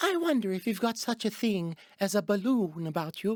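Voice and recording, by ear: In a put-on character voice pitched high, a man speaks on a very clean recording with a silent background. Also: moderate pace.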